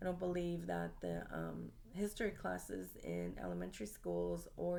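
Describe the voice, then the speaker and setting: Recorded with audible room echo, a woman speaks at a moderate pace with an American accent. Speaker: student. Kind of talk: class presentation monologue. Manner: halting, many filler ums.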